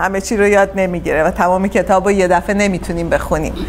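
Over light background noise, a woman speaks at a very fast pace with monotone, flat intonation. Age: 50s. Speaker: Bible teacher. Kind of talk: Bible study lecture. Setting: church class streamed live. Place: home room. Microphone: lapel.

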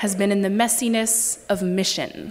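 This woman talks at a fairly slow pace. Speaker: preacher. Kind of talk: sermon. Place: church.

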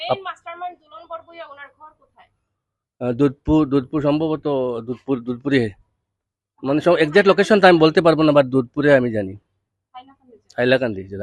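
Lively intonation marks this voice. It is a man's, pitched fairly high. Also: big swings in loudness. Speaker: parent and victim of extortion threat. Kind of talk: news interview testimony. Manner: halting, with many fillers.

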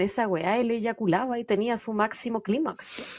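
A woman with a Chilean accent at a fairly slow pace, against a quiet background. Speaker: true crime podcast host. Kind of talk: casual chat; true crime storytelling narration. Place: home room. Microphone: studio mic.

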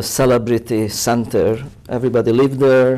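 In a Hungarian accent, a man speaks at a moderate pace with a medium pitch and a dark, mellow tone over a quiet background. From Hungary, Budapest. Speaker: photographer. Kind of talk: interview. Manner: halting. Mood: proud, reminiscing. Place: studio. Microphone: lapel.

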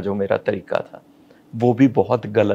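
A man is speaking. He goes at a very slow pace. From Punjabi family, India. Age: 60s. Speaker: fashion model and actor. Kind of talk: interview answer. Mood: reflective, candid about depression. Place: home room. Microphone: lapel.

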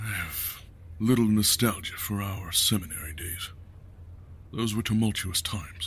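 A rumbling put-on character voice goes at a moderate pace with long, frequent pauses, over clear background noise. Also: man, fairly low pitch for a man. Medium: audio drama. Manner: dour, terse, grumbling.

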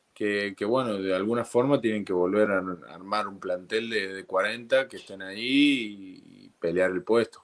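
A man with an Argentine accent speaks at a fairly slow pace and a fairly low pitch. He leaves hardly any pauses. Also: ordinary pitch variation, big swings in loudness. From Argentina. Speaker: professional rugby player; guest. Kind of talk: casual chat. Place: home room. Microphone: video call.

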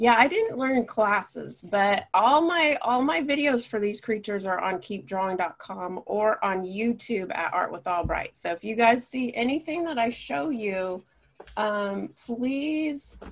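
The speech moves at a fairly slow pace with lively intonation. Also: woman. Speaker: art teacher. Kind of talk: tutorial.

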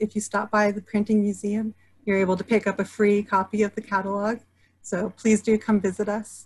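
Against a quiet background, a woman talks in a somewhat breathy voice at medium pitch. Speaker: museum education program manager; museum host. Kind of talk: webinar moderation. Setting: video call. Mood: friendly, warm. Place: home room. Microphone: video call.

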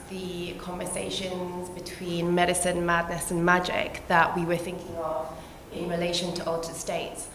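Light background noise and audible room echo surround a woman speaking at a moderate pace with a fairly low pitch. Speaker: guest. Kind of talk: panel introduction talk. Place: hall.

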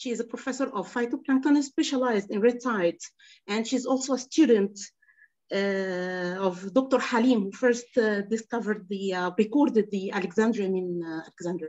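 The speaker has an Arabic accent and keeps a moderate pace. The background is quiet. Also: woman, fairly high pitch for a woman, ordinary pitch variation. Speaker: workshop moderator. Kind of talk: formal moderation. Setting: video call. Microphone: video call.

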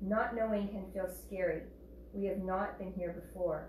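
Recorded with audible room echo and light background noise, a woman speaks. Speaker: yoga teacher. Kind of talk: class instruction. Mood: calm, soothing. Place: home room. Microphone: camera far.

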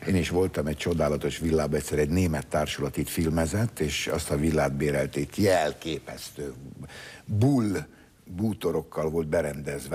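A man talks in a very deep, low voice. His pitch varies in an ordinary way. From Hungary. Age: 70s. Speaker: talk show host. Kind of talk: interview. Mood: jovial, laughing. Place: studio. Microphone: lapel.

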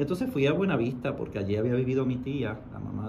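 Light background noise sits behind the speech. A man talks at a very fast pace. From Puerto Rico, western region. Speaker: university professor and writer. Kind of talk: radio interview. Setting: radio studio. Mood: emotional, reflective. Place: studio. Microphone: studio mic.

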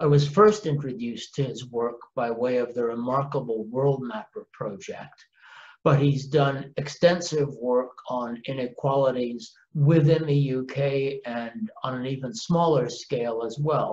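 A man with a medium pitch and a somewhat breathy voice talks at a fairly slow pace, his pitch varying in an ordinary way. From Canada. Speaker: professor. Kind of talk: recorded introduction. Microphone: webcam.

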